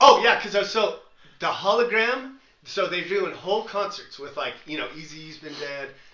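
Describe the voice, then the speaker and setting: The delivery has lively intonation and a moderate pace, with big swings in loudness. Audible room echo surrounds the voice. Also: man, high pitch for a man. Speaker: podcast co-host. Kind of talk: casual chat.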